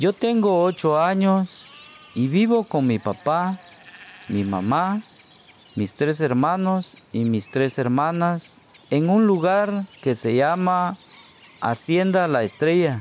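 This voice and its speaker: A man with a high pitch speaks very slowly, leaving long, frequent pauses. His intonation is lively while his loudness stays very even. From Guatemala. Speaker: storyteller. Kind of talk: storytelling. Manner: slow, clear.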